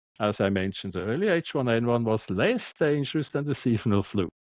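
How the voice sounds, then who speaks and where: With a strong Swiss German accent, a man talks at a moderate pace using lively intonation. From Switzerland. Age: 60s. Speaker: doctor. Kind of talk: interview. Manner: halting, repeats words.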